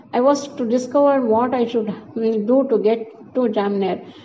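A woman speaks with fairly even intonation. There is noticeable background noise behind her. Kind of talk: audiobook narration. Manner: formal, even-paced reading.

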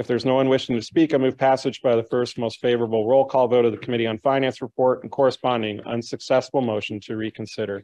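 Speaking very fast with hardly any pauses, a man with an American accent holds a flat monotone against a quiet background. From Chicago. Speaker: city council member. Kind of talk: formal council proceedings. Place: hall. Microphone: podium.

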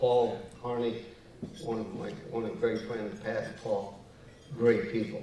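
A man speaks at a fairly slow pace with long, frequent pauses and fairly even intonation, though his loudness swings widely. Audible room echo and light background noise surround him. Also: medium pitch for a man. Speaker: golf champion honoree. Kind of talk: acceptance speech and interview answers. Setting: gala stage with audience. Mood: reminiscent, warm. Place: hall. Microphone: lapel.

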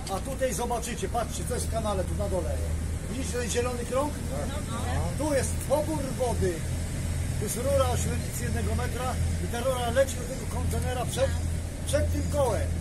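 A man speaks at a fairly quick pace. Loud background noise is present. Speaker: tour guide. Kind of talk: guided tour commentary. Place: boat. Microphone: camera far.

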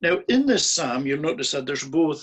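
Against a quiet background, a man talks in a fairly high voice with very wide swings in pitch. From Scotland. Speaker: minister, preacher. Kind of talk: sermon, recorded on Zoom. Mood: calm, earnest. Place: home room. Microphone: video call.

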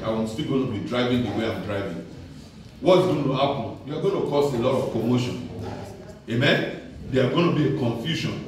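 Over light background noise and strong room echo, a man speaks at a moderate pace. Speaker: preacher. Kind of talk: sermon. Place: church.

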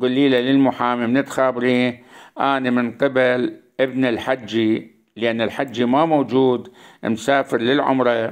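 Very slowly and at very even loudness, a man with an Iraqi accent speaks in a flat, monotone intonation. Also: medium pitch for a man. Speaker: YouTube storyteller. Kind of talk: narrated story monologue.

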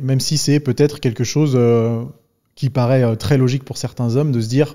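A man speaks at a moderate pace with a dark, mellow tone. His intonation is fairly even, and the background is quiet. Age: 30s. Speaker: podcast host and fitness YouTuber; podcast host, fitness YouTuber. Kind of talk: casual interview conversation. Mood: relaxed, friendly. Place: studio. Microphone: studio mic.

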